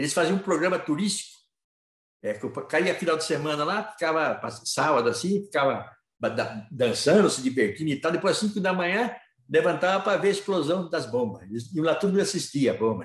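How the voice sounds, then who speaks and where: The pitch of this man's voice is high. His intonation is lively. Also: fairly quick pace. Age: 70s. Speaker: aikido teacher. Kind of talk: talk at a Masonic lodge. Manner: halting.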